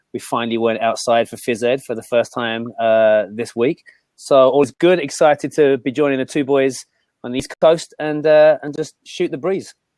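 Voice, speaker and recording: An English accent at a moderate pace, with ordinary pitch variation and a dry, close sound with no echo. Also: man, medium pitch for a man. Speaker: physical education teacher. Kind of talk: casual chat.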